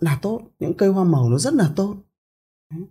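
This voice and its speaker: A man speaks at a high pitch with a dark, mellow tone. His intonation is lively. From northern Vietnam, Bac Giang province. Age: 40s. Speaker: entrepreneur and company chairman. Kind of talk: interview storytelling. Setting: studio office.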